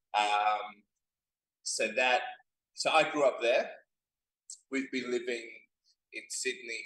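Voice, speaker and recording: A man talks at a fairly slow pace with an Australian accent. He leaves long, frequent pauses. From Perth, Western Australia. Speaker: rabbi. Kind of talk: casual interview. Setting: restaurant, on camera.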